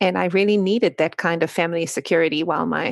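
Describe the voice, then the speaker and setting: In a South African accent, the speaker races along at a very fast pace with vocal fry, in a dry, close sound with no echo and a very clean recording against a silent background. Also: woman. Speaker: author. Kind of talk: interview.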